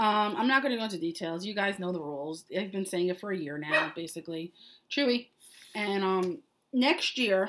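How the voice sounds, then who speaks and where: A woman with an American accent talks at a fairly quick pace, her pitch medium. Her intonation is lively. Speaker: knitting podcast host running knit-alongs. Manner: casual, rambling, frequent fillers.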